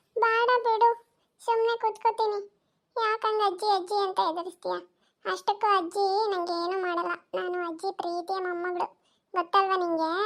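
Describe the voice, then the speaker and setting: In a cartoonish character voice, a woman speaks at a fairly slow pace in an extremely high pitch with fairly even intonation. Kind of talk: comic cartoon acting. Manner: whiny, carefree.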